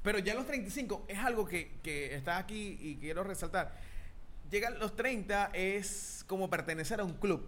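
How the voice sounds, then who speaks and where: A man with a Venezuelan accent speaks fairly slowly at a high pitch, his pitch varying in an ordinary way. Room echo is audible. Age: 30s. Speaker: podcast co-host. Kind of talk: casual chat.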